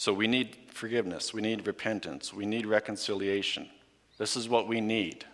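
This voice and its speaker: A man talks at a moderate pace in a fairly low pitch. He has an unremarkable speaking voice. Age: 40s. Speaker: high school chemistry teacher giving a guest sermon. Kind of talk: sermon.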